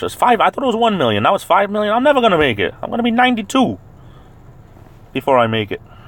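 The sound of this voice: A man with a Rhode Island accent talks at a very fast pace, yet with long, frequent pauses. Noticeable background noise runs behind him.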